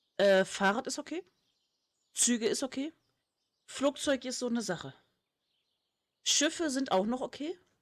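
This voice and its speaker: A woman speaks in a high voice at a moderate pace, stopping often for long pauses. The sound is dry and close, with no echo. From Lower Saxony, northern Germany. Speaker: gaming streamer. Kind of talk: casual chat while playing a game. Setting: live stream, recorded for video upload.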